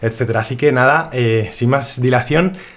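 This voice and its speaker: A man with a normal speaking voice talks at a fairly quick pace in a medium pitch with fairly even intonation. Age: 20s. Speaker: podcast host. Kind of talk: casual interview.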